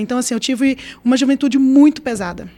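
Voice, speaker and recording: Her tone is dark and mellow. This woman's intonation stays monotone and flat. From Brazil, Brasília. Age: 40s. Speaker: political candidate. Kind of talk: interview. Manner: fast. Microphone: too far from the mic.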